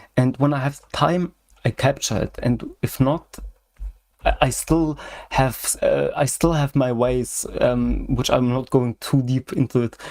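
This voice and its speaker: Speaking with a German accent, a man keeps a fairly slow pace at medium pitch, using ordinary pitch variation. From Germany. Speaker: software hobbyist. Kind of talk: casual chat. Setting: video call livestream. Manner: halting, many fillers.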